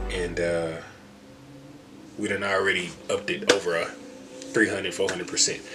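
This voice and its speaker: A man is heard with noticeable background noise. Room echo is audible as well. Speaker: day trading vlogger. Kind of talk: casual vlog outro. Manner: fast; casual, filler-heavy.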